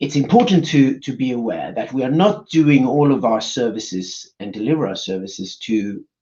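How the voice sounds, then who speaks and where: A man speaks with a Swedish accent and lively intonation. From Sweden. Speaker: business executive. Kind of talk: conference presentation. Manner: halting, many fillers.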